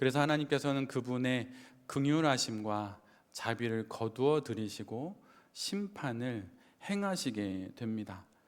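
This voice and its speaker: In a very clean recording with a silent background, a man with a medium pitch talks at a fairly slow pace with lively intonation. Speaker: pastor. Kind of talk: sermon.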